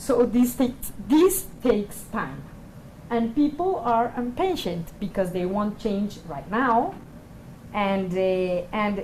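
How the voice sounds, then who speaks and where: Speaking at a fairly slow pace, a woman with a non-native accent uses lively intonation at a fairly high pitch. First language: not English. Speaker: panelist, peacebuilding organization. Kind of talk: panel discussion. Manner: halting, many fillers.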